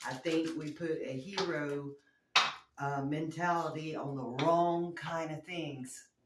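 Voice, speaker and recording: Speaking very slowly, a woman with a very deep, low voice keeps her intonation fairly even while room echo is audible. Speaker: tarot reader. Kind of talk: casual chat during tarot reading. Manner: shaky.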